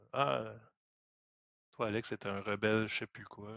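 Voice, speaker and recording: A man's fairly low voice at a fairly slow pace. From Quebec. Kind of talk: casual chat.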